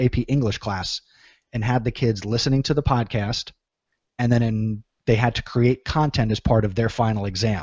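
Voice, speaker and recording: An unremarkable speaking voice of a man with an American accent, medium pitch, fairly even intonation, and a moderate pace. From New Jersey. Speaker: teacher and ed-tech podcaster. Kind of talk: interview.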